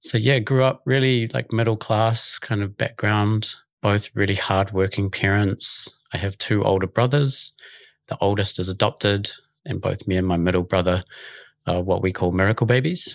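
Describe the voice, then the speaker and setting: In a New Zealand accent, the speaker talks at a moderate pace with ordinary pitch variation, recorded very cleanly with a dry, close sound, no echo and a silent background. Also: man, fairly low pitch for a man. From New Zealand, Auckland. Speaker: youth charity director. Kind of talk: casual chat.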